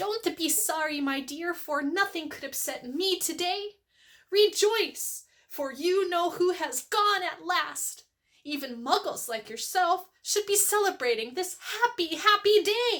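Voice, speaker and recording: A woman puts on a squeaky character voice at an extremely high pitch, raised and projected. She goes at a fairly slow pace on a very clean recording with a silent background. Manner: gleeful, joyous.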